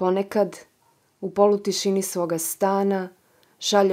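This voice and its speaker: At a moderate pace, a woman talks in a medium pitch with a dark, mellow tone, on a very clean recording with a silent background. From Croatia. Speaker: author reading her own short story. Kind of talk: dramatic narration of literary prose, reading aloud.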